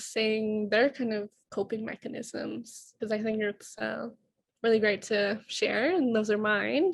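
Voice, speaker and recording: A woman's fairly high voice at a fairly slow pace, with fairly even intonation and a quiet background. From Siksika First Nation, Alberta, Canada. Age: 20s. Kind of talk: presentation in a sharing circle. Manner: shaky voice when public speaking.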